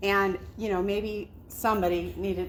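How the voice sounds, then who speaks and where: There is audible room echo here. It surrounds the voice of a woman talking. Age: 50s. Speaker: investor group founder and event host. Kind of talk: event welcome speech. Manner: casual, chatty with filler words.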